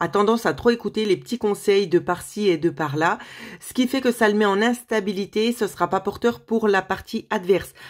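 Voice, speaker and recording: Speaking at a moderate pace, a woman uses a medium pitch with ordinary pitch variation and big swings in loudness. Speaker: tarot card reader, medium. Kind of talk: tarot reading video. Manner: hesitant, many fillers.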